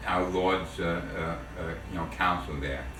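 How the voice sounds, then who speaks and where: Speaking in a New York accent with lively intonation, a man keeps a fairly slow pace over background music and audible room echo. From New York City, the Bronx. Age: 70s. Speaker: family elder interviewed by son. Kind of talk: family oral history interview. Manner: halting, many fillers and repetitions.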